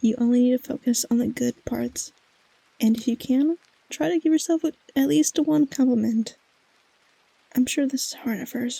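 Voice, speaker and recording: The speaker is soft-spoken with a gentle tone, moving at a moderate pace with long, frequent pauses. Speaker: ASMR vtuber. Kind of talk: ASMR comfort affirmations read from a script. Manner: soft-spoken, gentle.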